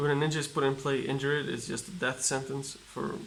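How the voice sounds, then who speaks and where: Room echo is audible as a man with a non-native accent speaks at a fairly quick pace. His medium-pitched voice keeps fairly even intonation. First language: not English. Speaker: card game YouTuber. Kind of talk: casual unboxing commentary. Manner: reads card text aloud, halting.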